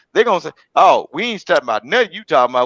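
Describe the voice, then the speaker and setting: Recorded dry and close with no echo against a quiet background, a man speaks. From Mississippi. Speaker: online panel speaker. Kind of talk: casual chat. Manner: animated.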